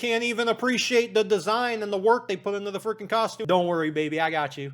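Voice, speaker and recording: A man talks at a very fast pace in an animated tone. His intonation is lively. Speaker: toy reviewer. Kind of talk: product review.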